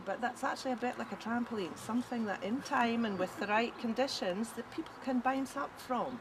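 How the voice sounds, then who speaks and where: In a Scottish accent, a high-pitched woman talks at a fairly quick pace with hardly any pauses and ordinary pitch variation, over noticeable background noise. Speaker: independence campaigner. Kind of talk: casual chat.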